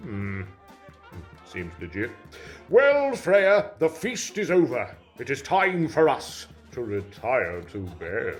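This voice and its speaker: Doing a put-on character voice, a man speaks at a very slow pace in a fairly high pitch, with faint music in the background. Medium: audio drama. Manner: booming and gullible.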